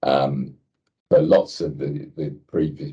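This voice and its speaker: A man speaks with an English accent. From England. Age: 70s. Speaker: cancer patient sharing experience. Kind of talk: podcast interview, personal story. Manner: halting, many fillers.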